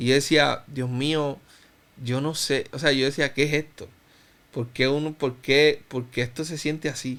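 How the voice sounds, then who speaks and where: At a fairly slow pace, the delivery stays monotone and flat in intonation. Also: man, fairly high pitch for a man. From Cuba, raised in Puerto Rico from about age 10. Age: 30s. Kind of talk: interview, personal testimony.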